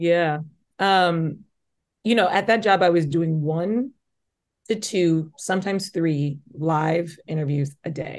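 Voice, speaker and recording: Over a quiet background, a woman with a Midwestern US accent and a fairly low pitch speaks with ordinary pitch variation and long, frequent pauses. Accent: US Midwest. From Omaha, Nebraska. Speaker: journalist and host. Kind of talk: interview. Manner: fast talker; occasional stutter.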